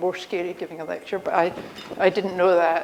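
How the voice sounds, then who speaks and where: A woman speaks at a fairly quick pace with a Scottish accent and a medium pitch, over noticeable background noise. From Scotland. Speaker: engineering professor. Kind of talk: conference talk. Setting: stage with audience. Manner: conversational.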